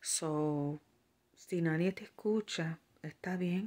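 A woman speaks at a very deep, low pitch with ordinary pitch variation. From Puerto Rico. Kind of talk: religious vlog monologue; casual vlog chat with spiritual exhortation. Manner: halting, many fillers. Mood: earnest, concerned. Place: home room. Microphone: phone near.

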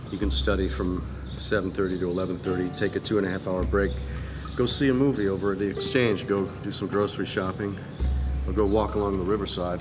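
Fairly low male voice over clear background music. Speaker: travel vlogger. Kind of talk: casual vlog chat. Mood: relaxed, chatty. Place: street. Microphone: phone near.

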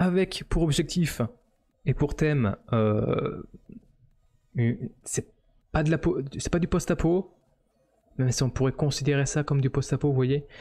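A man speaks at a fairly slow pace with long, frequent pauses, his fairly high voice somewhat breathy with a dark, mellow tone. His pitch varies in an ordinary way, his loudness stays very even, and the background is quiet. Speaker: 3D modeling streamer. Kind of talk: live stream commentary. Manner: hesitant, many fillers. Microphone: studio mic.

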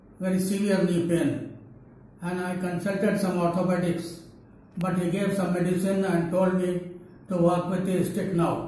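A man with a high pitch speaks fairly slowly in a flat monotone, with strong room echo and light background noise. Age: 80s+. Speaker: patient giving testimonial. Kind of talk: testimony. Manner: halting. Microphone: lapel.

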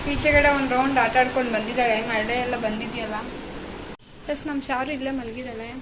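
In a room with audible echo and noticeable background noise, a woman speaks in a high, monotone, flat voice. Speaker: vlogger. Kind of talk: casual vlog narration.

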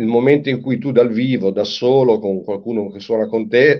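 This man has a plain, everyday voice at medium pitch and a moderate pace. The background is quiet. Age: 60s. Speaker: singer-songwriter; guest. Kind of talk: interview. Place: home room. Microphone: video call.

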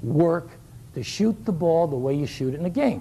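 Over light background noise, a man with a fairly high pitch sounds animated, his pitch swinging very widely. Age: 60s. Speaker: shooting coach giving a clinic. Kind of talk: coaching clinic lecture. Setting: live clinic with audience. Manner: animated, humorous. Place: hall. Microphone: lapel.

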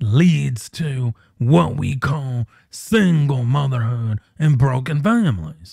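A man speaks very slowly in a somewhat breathy voice with a dark, mellow tone. The sound is dry with no echo, and the background is quiet. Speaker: channel host. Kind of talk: opinion commentary vlog. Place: home room. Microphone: studio mic.

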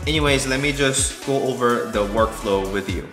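Clear music plays in the background as a man speaks with a very deep, low pitch. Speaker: tech reviewer. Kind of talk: casual tutorial vlog. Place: kitchen.

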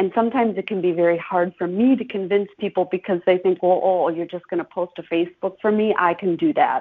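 With an Upper Midwest accent, the talk runs very fast with fairly even intonation and hardly any pauses. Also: woman, medium pitch for a woman. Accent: Upper Midwest American. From Chippewa Falls, Wisconsin. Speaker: podcast host and marketing consultant. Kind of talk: casual interview.

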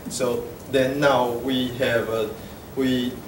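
Noticeable noise sits in the background. A man speaks with monotone, flat intonation. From Taiwan. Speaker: software developer; conference presenter. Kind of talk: conference talk. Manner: halting. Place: hall.

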